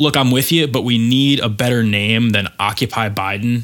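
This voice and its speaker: Here a man talks with an American accent at a moderate pace. He has a normal speaking voice at medium pitch with ordinary pitch variation. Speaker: podcast host. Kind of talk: casual podcast chat about climate news.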